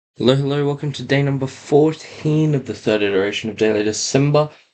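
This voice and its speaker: A man's normal speaking voice at medium pitch, with lively intonation and a moderate pace. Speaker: YouTuber building toy kits. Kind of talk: casual build vlog. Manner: casual. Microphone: laptop mic.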